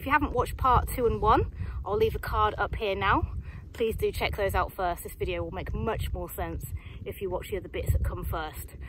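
Here a woman speaks at a fairly quick pace. The sound is dry with no echo, but background noise is noticeable. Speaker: hiking vlogger. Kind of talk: casual vlog chat. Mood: cheerful, upbeat. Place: open country. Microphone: phone near.

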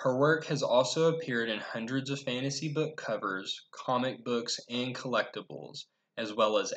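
This man speaks at a fairly slow pace with ordinary pitch variation. The background is quiet. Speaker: presenter. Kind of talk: class presentation. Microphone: webcam.

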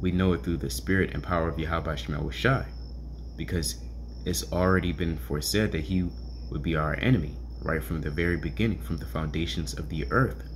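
Light background noise sits behind a man with a very deep, low pitch and vocal fry. He talks at a fairly quick pace with lively intonation. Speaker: bible reader, teacher. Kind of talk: scripture reading with commentary. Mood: earnest teaching tone. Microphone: phone near.

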